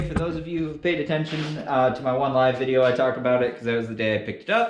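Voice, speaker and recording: This man talks at a fairly quick pace with an American accent. Room echo can be heard around his voice. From Western Michigan. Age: 20s. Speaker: welder and equipment reviewer. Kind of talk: tutorial. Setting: workshop. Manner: casual, hesitant with fillers.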